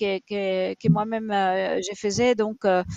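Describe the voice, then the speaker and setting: Recorded dry and close with no echo against a quiet background, a woman speaks with an Italian accent. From Italy. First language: Italian (speaking French). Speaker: rabbit shelter founder. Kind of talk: interview on a live stream. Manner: halting, many fillers.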